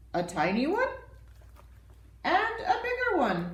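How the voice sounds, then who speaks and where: A woman's put-on character voice at an extremely high pitch, delivered at a fairly slow pace over clear background noise. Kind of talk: bedtime story. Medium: read story.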